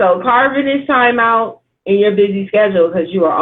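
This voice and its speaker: A woman talks at medium pitch and a moderate pace, with ordinary pitch variation. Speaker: writing coach and livestream host. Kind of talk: casual interview. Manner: loud; animated.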